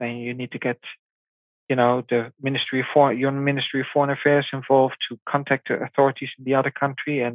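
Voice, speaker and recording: A man's medium-pitched voice with a Dutch accent, flat and monotone, fairly quick, with big swings in loudness. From Netherlands. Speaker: parent of abducted child. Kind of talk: interview. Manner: halting.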